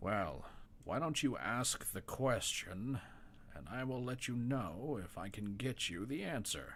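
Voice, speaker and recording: Over clear background noise, a man does a put-on character voice at a medium pitch with lively intonation. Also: fairly slow pace. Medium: actual play. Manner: composed, polite.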